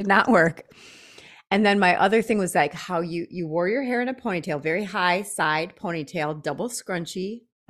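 A woman talks in an unremarkable speaking voice with an American accent. Her pitch is medium, varies in an ordinary way, and her pace is moderate. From US Midwest, Janesville, Wisconsin. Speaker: podcast co-host. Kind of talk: casual conversation. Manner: laughs often.

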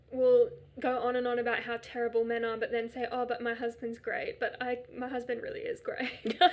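Amid noticeable background noise, a woman with an Australian accent talks at a fairly quick pace. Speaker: guest. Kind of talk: casual chat.

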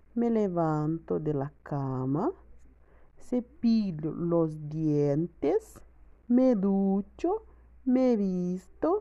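Delivered at a very slow pace with a Brazilian accent, the voice has a dark, mellow tone and very wide pitch swings. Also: woman. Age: 20s. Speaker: language student, mother. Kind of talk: learner's spoken exercise on daily routine. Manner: careful learner's pace.

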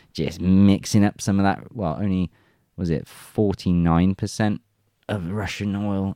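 Against a quiet background, a man with an English accent speaks at a very deep, low pitch in a dark, mellow tone, the sound dry and close with no echo. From England. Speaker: news commentary channel host. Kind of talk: reading news articles aloud with commentary.

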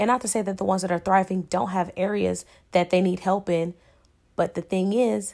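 A woman with a normal speaking voice, fairly low pitch and moderate pace, in a very clean recording with a silent background. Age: 30s. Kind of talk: casual solo podcast talk.

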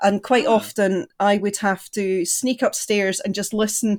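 Her pitch fairly high, a woman speaks with a Scottish accent. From Scotland, East Lothian. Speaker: podcast guest. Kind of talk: casual chat.

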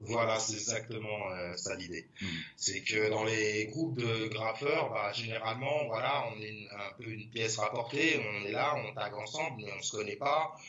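A man talks at a fairly slow pace with a medium pitch and ordinary pitch variation. Audible room echo and noticeable background noise are present. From Paris, 11th arrondissement. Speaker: graffiti artist. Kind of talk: casual chat. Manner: halting.

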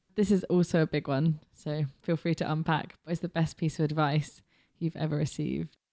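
A woman's very deep, low voice with a dark, mellow tone, flat monotone delivery and moderate pace, in a very clean, dry, close recording with no echo and a silent background. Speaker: podcast host and intern. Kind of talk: scripted introduction; interview.

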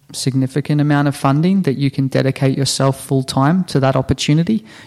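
With an Australian accent, a man talks at a fairly quick pace in a fairly high pitch. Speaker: health-tech startup founder. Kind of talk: interview.

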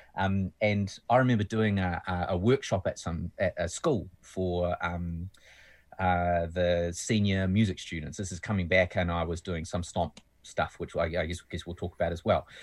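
In a New Zealand accent, a man speaks with a very deep, low pitch. His pace is moderate and his intonation fairly even. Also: quiet background. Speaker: musician. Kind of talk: casual chat.

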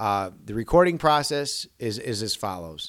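At a fairly slow pace, a man with an American accent and a medium pitch speaks with lively intonation on a very clean recording with a silent background. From Chicago area, Illinois. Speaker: metal vocalist and recording studio owner. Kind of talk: casual chat.

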